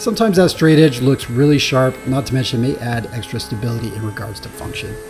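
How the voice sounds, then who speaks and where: Very fast speech from a man at medium pitch, with lively intonation, big swings in loudness and music in the background. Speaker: woodworking video maker. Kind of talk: scripted narration.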